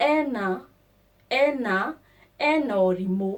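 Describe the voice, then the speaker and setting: A woman speaks at medium pitch with lively intonation. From Kenya. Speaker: language teacher. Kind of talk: tutorial. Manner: slow, repetitive.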